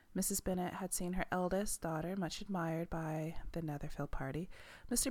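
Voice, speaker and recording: Speaking at a moderate pace, a woman uses a plain, everyday voice at medium pitch on a very clean recording with a silent background. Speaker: ASMR book reader. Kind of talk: bedtime story reading. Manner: soft-spoken.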